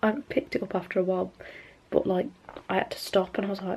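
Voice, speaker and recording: Noticeable background noise sits under the voice. The delivery is very fast, with fairly even intonation. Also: woman. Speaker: vlogger. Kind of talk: vlog. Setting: at home, family sleeping. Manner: loud.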